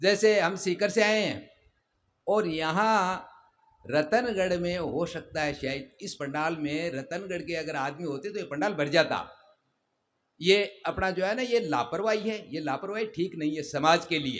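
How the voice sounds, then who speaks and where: High for a man, the speaker's pitch shows ordinary variation. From Rajasthan, Sikar. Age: 70s. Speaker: community elder. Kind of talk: public speech.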